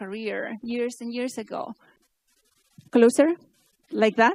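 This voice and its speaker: A woman with a Spanish accent speaks at a fairly slow pace and a high pitch. Her pitch varies in an ordinary way, and the sound is dry and close with no echo. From Spain. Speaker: keynote speaker, AI researcher and startup founder. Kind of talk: conference keynote. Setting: stage with audience. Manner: halting.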